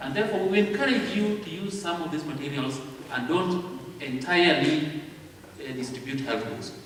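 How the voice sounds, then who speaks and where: A man's fairly high, lively voice at a fairly slow pace, with audible room echo and noticeable background noise. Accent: Kenyan. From Kenya. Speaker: convention speaker on literature evangelism. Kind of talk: lecture. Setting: auditorium with audience. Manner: slow, deliberate.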